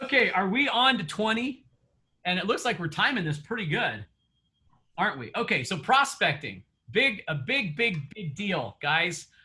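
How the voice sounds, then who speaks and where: Raised and projected, a man's high, bright, sharp voice moves at a moderate pace with very wide pitch swings. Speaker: real estate coach. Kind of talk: coaching session. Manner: conversational, many fillers.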